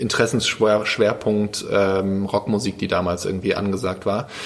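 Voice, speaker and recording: Noticeable background noise sits under talking that moves at a moderate pace. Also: man. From Germany, Lower Rhine (Krefeld). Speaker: youth participation educator at a foundation. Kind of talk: casual interview. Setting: quiet room at a barcamp. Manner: hesitant, many fillers.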